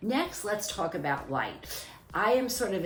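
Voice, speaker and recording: Noticeable background noise and audible room echo around a woman speaking at a moderate pace. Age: 60s. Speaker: dermatologist presenting her skincare line. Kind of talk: product presentation. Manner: formal.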